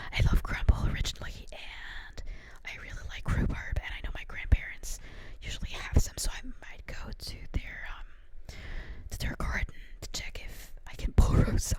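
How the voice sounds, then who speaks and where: A woman whispers at a moderate pace, with big swings in loudness. Noticeable background noise runs underneath. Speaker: ASMR creator. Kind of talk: ASMR talk to camera, casual chatty. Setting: home, condenser microphone. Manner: soft-spoken, relaxed.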